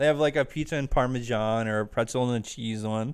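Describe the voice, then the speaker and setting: A man with an American accent speaks at a very fast pace with ordinary pitch variation. The recording is very clean, its background silent. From Arizona (Chandler). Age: 20s. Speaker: podcast co-host. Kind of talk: casual chat.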